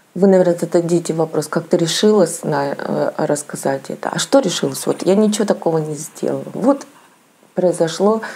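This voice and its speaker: A woman with a fairly low pitch at a moderate pace, against noticeable background noise. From Russia, Saint Petersburg. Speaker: lifestyle vlogger. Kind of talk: casual vlog monologue. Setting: at home. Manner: halting.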